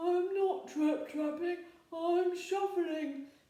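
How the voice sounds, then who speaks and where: In a put-on character voice with an extremely high pitch, the speaker talks at a very slow pace with a slight echo. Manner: meek, nervous.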